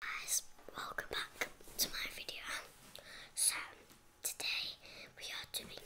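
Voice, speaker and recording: Whispering at a fairly slow pace, a woman leaves long, frequent pauses amid noticeable background noise. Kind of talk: ASMR eating and tasting video, casual talk to camera.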